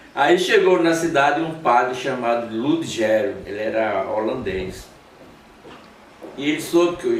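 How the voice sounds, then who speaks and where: Over noticeable background noise and audible room echo, a man talks at a moderate pace with lively intonation and long, frequent pauses. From Alagoas, northeast Brazil. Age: 70s. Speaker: guitarist. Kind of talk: interview. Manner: halting, repeats words.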